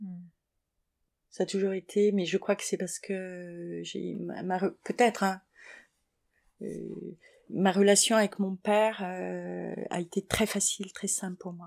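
Over a silent background in a very clean recording, a woman speaks at a very slow pace. Her loudness swings widely, and she leaves long, frequent pauses. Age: 50s. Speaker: interviewee. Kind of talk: interview. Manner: halting.

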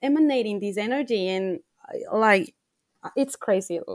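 At a moderate pace, a woman with a Spanish accent speaks with ordinary pitch variation. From Ecuador. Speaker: life coach. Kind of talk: interview.

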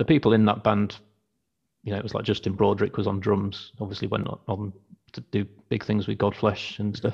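A man's fairly low, somewhat breathy voice holds a monotone, flat intonation. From Wakefield, West Yorkshire. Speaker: band frontman, label manager. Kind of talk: casual chat, interview. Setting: video call.

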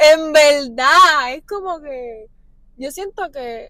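A woman uses a raised, projected voice with a bright, sharp tone. Her pitch variation is ordinary. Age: 20s. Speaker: podcast guest. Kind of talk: casual chat.

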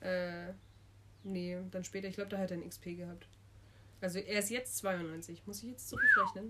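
A woman at a moderate pace with long, frequent pauses and big swings in loudness, over noticeable background noise. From Munich, Bavaria. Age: 20s. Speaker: university student, podcast co-host. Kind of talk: casual chat.

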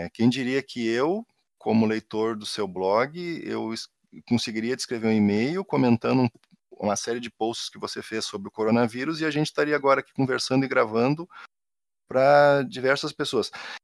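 A man speaks at a moderate pace with ordinary pitch variation, recorded very cleanly against a silent background with a dry, close sound and no echo. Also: medium pitch for a man. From Rio Grande do Sul, southern Brazil. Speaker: university professor. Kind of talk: casual interview.

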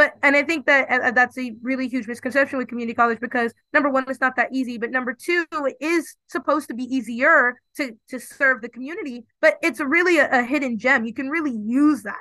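A woman's high, raised, projected voice at a fairly quick pace with hardly any pauses, ordinary pitch variation and a dry, close sound with no echo. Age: 20s. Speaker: law graduate. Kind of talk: interview.

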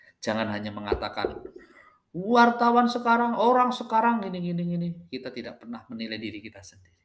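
A very fast pace with very wide pitch swings and big swings in loudness. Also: man, high pitch for a man. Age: 40s. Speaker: podcaster. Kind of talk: monologue. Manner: halting.

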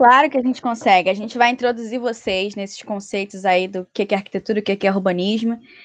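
An ordinary speaking voice from a woman, fairly high in pitch, with fairly even intonation at a fairly quick pace. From Brazil, Rio de Janeiro. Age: 20s. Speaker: architecture student, podcast co-host. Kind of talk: casual chat.

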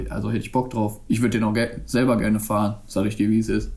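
The speaker is male. His voice has a dark, mellow tone. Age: 20s. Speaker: podcast co-host. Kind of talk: casual chat. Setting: video call.

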